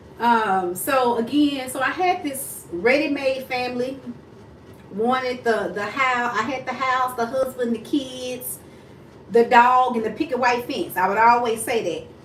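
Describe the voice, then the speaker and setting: A woman with a high-pitched voice talks at a fairly slow pace in an animated tone with ordinary pitch variation, while audible room echo and noticeable background noise sit around her. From Texas, Dallas area. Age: 40s. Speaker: mindset coach. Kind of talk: casual livestream chat. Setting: self-filmed livestream on tripod.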